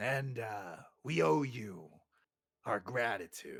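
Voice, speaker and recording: A man puts on a raspy character voice at medium pitch, with lively intonation and a very slow pace. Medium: actual play. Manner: gruff, aggressive.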